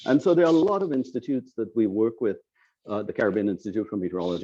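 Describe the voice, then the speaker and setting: A man talks at a very fast pace with a Trinidadian accent. His tone is dark and mellow against a quiet background. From Trinidad and Tobago. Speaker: climate scientist. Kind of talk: lecture.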